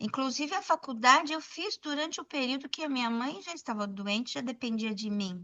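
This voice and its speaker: A woman with a high pitch talks at a fairly quick pace with hardly any pauses. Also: lively intonation. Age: 60s. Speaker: documentary photographer, former educator. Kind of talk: podcast interview.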